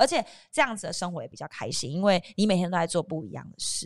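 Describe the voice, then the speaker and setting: Speaking very fast, a woman sounds animated. The recording is very clean, with a silent background. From southern Taiwan, Kaohsiung. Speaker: TV host. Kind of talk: casual chat.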